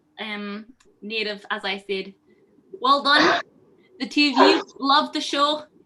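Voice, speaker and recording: A woman with a Northern Irish accent speaks in a raised, projected voice at a high pitch. Her tone is bright and sharp, with ordinary pitch variation. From Northern Ireland, County Antrim. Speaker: student jury spokesperson. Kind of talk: mock Eurovision vote announcement. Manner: enthusiastic.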